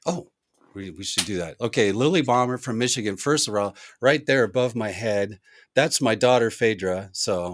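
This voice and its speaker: The speaker has a normal speaking voice and lively intonation, talking at a moderate pace in a very clean recording with a silent background. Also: man, medium pitch for a man. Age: 60s. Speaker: music producer and musician. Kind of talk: live-stream casual chat. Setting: recording studio, live stream.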